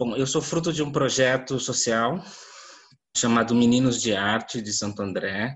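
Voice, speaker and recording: A man's normal speaking voice at a fairly slow pace. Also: medium pitch for a man, ordinary pitch variation. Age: 30s. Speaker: visual artist. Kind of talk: panel discussion. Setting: video call.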